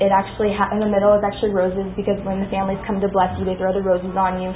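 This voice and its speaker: Over noticeable background noise and audible room echo, a woman at medium pitch talks at a very fast pace. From Pakistan. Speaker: student. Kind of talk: class presentation.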